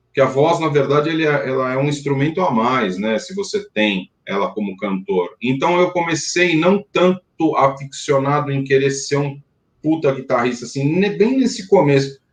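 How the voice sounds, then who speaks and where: A man talks at a moderate pace with hardly any pauses, his fairly high, somewhat breathy voice carrying lively intonation. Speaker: rock band singer and songwriter. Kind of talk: interview. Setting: live stream. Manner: hesitant, many fillers.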